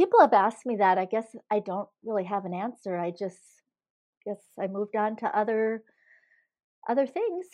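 A woman with a Minnesota accent speaks at a fairly high pitch in a dark, mellow tone, with ordinary pitch variation. Her speech has long, frequent pauses over a quiet background. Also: moderate pace. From northern Minnesota. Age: 60s. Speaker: former marathon champion. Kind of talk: interview. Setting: phone call.

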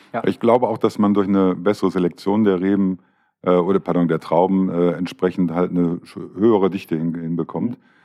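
Speaking at a fairly quick pace, a man with a very deep, low voice keeps his intonation fairly even. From Düsseldorf, partly raised in Swabia. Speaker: wine podcast host. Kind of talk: casual chat. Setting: hotel show kitchen.

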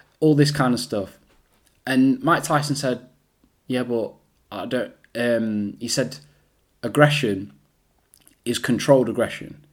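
A man with an East Midlands accent talks at a fairly slow pace. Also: long, frequent pauses. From England, Derby. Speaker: podcast host. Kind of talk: motivational monologue.

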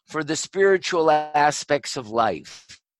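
A man at a fairly high pitch with ordinary pitch variation, at a very slow pace, in a dry, close sound with no echo. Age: 70s. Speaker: eye doctor and vision scientist. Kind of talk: interview conversation on light and spirituality. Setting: video call.

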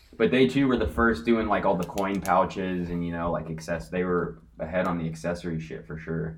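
Over audible room echo, a man with an American accent and a very deep, low pitch talks at a fairly quick pace with lively intonation and hardly any pauses. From California (Corona). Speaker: vintage clothing reseller. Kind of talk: casual chat.

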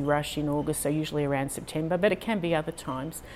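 Speaking in an Australian accent, this voice moves at a very fast pace. The intonation stays fairly even. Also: woman. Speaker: fluid artist. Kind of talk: interview.

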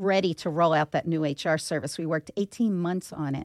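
In an American accent, a woman with an unremarkable speaking voice talks at a fairly low pitch with ordinary variation, the sound dry and close with no echo on a very clean recording with a silent background. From Philadelphia (Northeast Philadelphia). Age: 50s. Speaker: business owner, HR company CEO. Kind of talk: interview.

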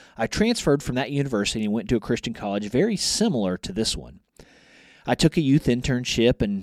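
A man's normal speaking voice at a medium pitch and fairly quick pace, with ordinary pitch variation, recorded very cleanly against a silent background with a dry, close sound and no echo. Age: 40s. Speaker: college department chair and ministry teacher. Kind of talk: podcast interview.

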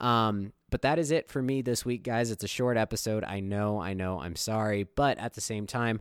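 The recording is very clean, with a silent background and a dry, close sound with no echo. A man talks at a fairly quick pace, fairly low in pitch, with ordinary pitch variation. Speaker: sports podcast host. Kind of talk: casual solo commentary. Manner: fast; hesitant, many fillers.

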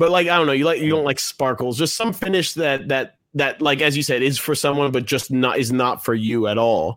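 Here is a man with a fairly high pitch and an unremarkable speaking voice, in an American accent. He talks at a fairly quick pace with hardly any pauses and ordinary pitch variation. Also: very even loudness. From US, Washington D.C. area. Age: 30s. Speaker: guitarist and gear enthusiast. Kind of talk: casual chat.

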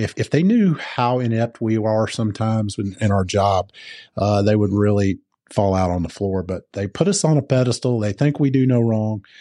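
In a Southern US accent, a man speaks at a moderate pace. His voice is fairly low, with a dark, mellow tone. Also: ordinary pitch variation, quiet background. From US South (Georgia). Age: 50s. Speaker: firefighter. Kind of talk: casual interview.

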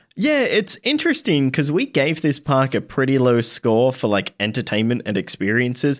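Here is a man with an ordinary speaking voice at a medium pitch and ordinary pitch variation. The sound is dry and close with no echo, and the loudness is very even. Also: moderate pace. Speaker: podcast host. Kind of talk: casual chat.

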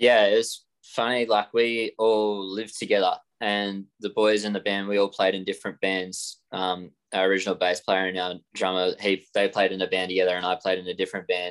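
In an Australian accent, a man speaks at a moderate pace. His fairly low voice stays monotone and flat. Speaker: rock guitarist. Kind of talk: casual interview chat.

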